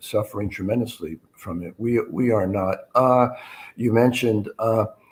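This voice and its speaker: The voice is somewhat breathy, with fairly even intonation and an American accent. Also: man. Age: 70s. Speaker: retired journalist. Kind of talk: casual interview chat. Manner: halting, frequent uh fillers.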